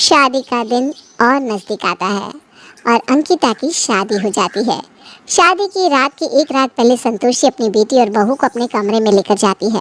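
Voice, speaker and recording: A woman's cartoonish character voice, high-pitched and lively in intonation, at a moderate pace with a dry, close sound and no echo. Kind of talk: bedtime story. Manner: smooth, steady narration.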